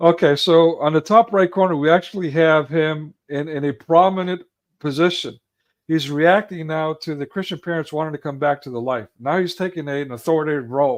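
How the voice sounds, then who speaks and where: A man talks at a fairly quick pace with fairly high pitch and ordinary pitch variation. The background is quiet. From United States. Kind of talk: casual chat. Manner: fast.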